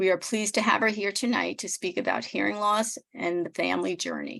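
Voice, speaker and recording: With vocal fry, a woman talks at a fairly quick pace. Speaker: nonprofit executive director. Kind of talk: speaker introduction. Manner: measured.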